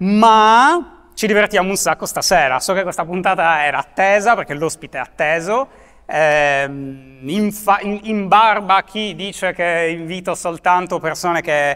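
The tone is bright and sharp, and the pace is fairly slow. The background is quiet. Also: man, high pitch for a man, ordinary pitch variation. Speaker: interviewer, video host. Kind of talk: interview. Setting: stage with audience.

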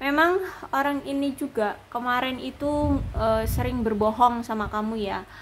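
A woman speaks at a very slow pace. Light background noise is present. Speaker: tarot reader. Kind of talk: tarot reading commentary. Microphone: phone near.

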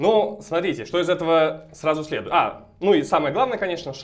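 Against a quiet background, a man with a high voice talks at a moderate pace. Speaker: mathematics graduate student. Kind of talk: math lecture explanation. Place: classroom. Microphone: camera far.

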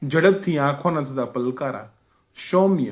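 The man has an unremarkable speaking voice. His pitch sits fairly high. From Gujarati family, schooled in Jabalpur, central India. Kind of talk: religious memoir narration.

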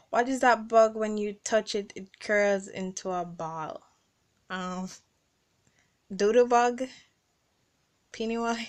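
Over a quiet background, a woman speaks at a very slow pace with fairly even intonation and long, frequent pauses. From Caribbean. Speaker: vlogger. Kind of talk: casual talk to camera, accent tag word list and questions. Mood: playful, laughing. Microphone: phone near.

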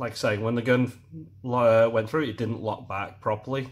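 With a British accent, a man talks at a fairly slow pace. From UK. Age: middle-aged. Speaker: airsoft product reviewer, YouTuber. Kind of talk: product review. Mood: disappointed, critical. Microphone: phone near.

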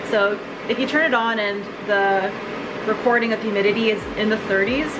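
A female speaker with noticeable noise in the background. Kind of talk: tutorial. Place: kitchen. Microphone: phone near.

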